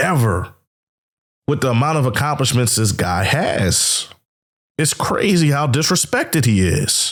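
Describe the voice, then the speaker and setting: Pausing long and often, a man with a fairly high pitch and vocal fry speaks fairly slowly in an animated tone, his intonation lively and his loudness very even. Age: 30s. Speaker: YouTube sports reactor. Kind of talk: reaction commentary.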